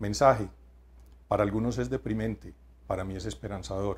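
A man speaks with vocal fry. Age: 50s. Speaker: writer and researcher on workplace wellbeing; lecturer, interview guest. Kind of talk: TV interview. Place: studio. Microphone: lapel.

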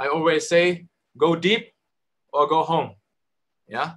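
Speech from a man unfolds at a fairly slow pace. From Germany. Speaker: guest. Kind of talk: webinar talk presentation. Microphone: webcam.

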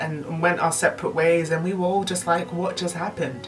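Faint music can be heard in the background. Over it, a woman talks. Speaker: YouTuber. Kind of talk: casual story time to camera. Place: home room.

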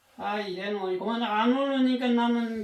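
This man's voice sits at a high pitch. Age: 80s+. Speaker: former slash-and-burn farmer. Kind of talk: interview answer.

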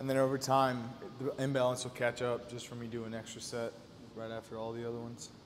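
Music plays behind a man talking very fast at a medium pitch, his loudness swinging widely. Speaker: fitness coach. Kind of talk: workout tutorial. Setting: gym. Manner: animated.

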